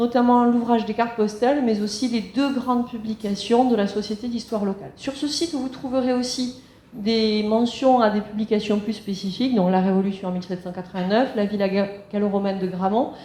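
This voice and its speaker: Amid noticeable background noise and audible room echo, a woman with a fairly high pitch talks at a fairly quick pace with fairly even intonation. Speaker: local history society president. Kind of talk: public lecture. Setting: conference room with audience. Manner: fast.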